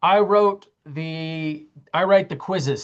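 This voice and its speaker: A woman talks with a normal speaking voice at a fairly low pitch. Her intonation is lively. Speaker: college math instructor. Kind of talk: lecture.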